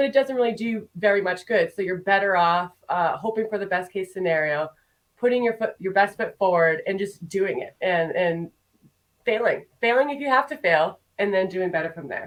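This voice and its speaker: At a moderate pace, a woman with a normal speaking voice talks at a medium pitch with ordinary pitch variation. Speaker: marketing consultant. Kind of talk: podcast interview.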